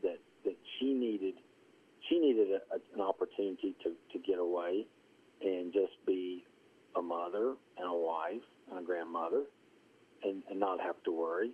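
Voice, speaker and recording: A man with an Appalachian accent talks at a moderate pace, with long, frequent pauses. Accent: Southern Appalachian US. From US South, rural southwest Virginia (Appalachia). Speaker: golf course superintendent and columnist. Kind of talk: casual interview.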